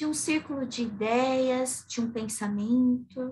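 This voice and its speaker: Her high pitch stands out as the woman speaks at a very slow pace. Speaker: psychotherapist and theology lecturer. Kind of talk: lecture.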